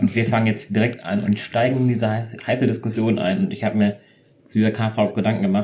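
At a fairly quick pace, a man talks with a fairly low pitch, a dark, mellow tone, some breathiness and flat, monotone intonation. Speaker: podcast co-host. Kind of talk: casual chat.

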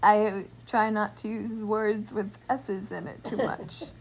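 Speaking at a very slow pace, a woman uses a bright, sharp tone, a fairly high pitch and fairly even intonation. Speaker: podcast host. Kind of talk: casual chat.

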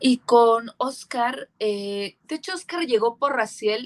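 The speech moves at a very slow pace. The sound is dry and close with no echo, over a quiet background. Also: woman. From rural Mexico. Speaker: metal band singer. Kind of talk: casual chat.

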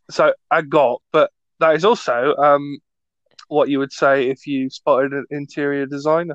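A man with a British accent speaks at a fairly high pitch and a moderate pace. The sound is dry and close, with no echo. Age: 20s. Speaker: podcast host, student. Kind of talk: casual chat. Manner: joking, animated.

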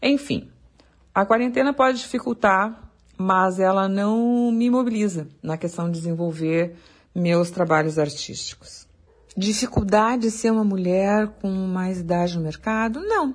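The voice belongs to a woman and sounds somewhat breathy. Her pitch variation is ordinary. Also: medium pitch for a woman. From southern Brazil, Porto Alegre. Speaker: wildlife photographer. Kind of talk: interview.

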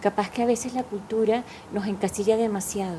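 With a Venezuelan accent, a woman speaks at a moderate pace and medium pitch with fairly even intonation. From Caracas, Venezuela. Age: 50s. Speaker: meditation teacher. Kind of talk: casual interview.

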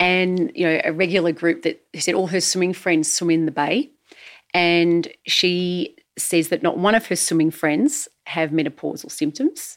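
A woman speaks in a normal speaking voice, fairly low in pitch with ordinary variation, at a moderate pace. The recording is very clean with a silent background. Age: 50s. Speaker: host's wife, community voice. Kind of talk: casual chat.

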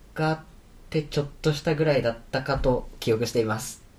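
Somewhat breathy, this voice goes at a fairly quick pace, its pitch varying in an ordinary way. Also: man. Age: 20s. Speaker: university student and podcaster. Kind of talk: casual chat.

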